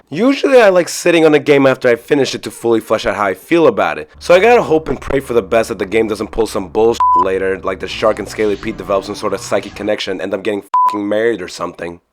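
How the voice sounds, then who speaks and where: Background noise is noticeable here. Over it, a man talks very fast. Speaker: video game reviewer. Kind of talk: game review narration. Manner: casual, profane.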